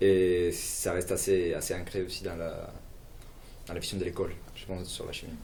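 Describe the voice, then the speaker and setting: A man with a slight Latin American accent at a moderate pace, big swings in loudness, long, frequent pauses and audible room echo. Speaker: chemistry student. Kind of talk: live broadcast interview.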